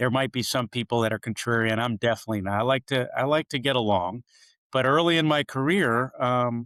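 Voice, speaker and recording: A man with a plain, everyday voice talks at a fairly quick pace and medium pitch, with ordinary pitch variation and very even loudness. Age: 60s. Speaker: marketing executive and author. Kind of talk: podcast interview.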